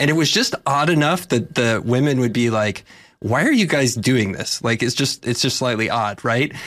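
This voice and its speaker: In a very clean recording with a silent background, a man with an American accent and a normal speaking voice talks at a moderate pace, at medium pitch with ordinary pitch variation and very even loudness. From Texas. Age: 40s. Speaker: investor and entrepreneur. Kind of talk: casual chat.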